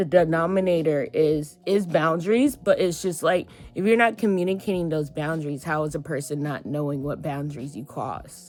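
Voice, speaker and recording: This woman's voice sits fairly low and moves with ordinary pitch variation. She talks at a moderate pace with hardly any pauses. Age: 20s. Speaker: vlogger. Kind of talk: casual monologue vlog. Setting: in bed. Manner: halting, many fillers and restarts.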